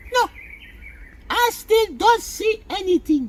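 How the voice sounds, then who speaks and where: This is a squeaky put-on character voice with extremely high pitch. It moves at a fairly slow pace. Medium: read story. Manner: calm, innocent-sounding.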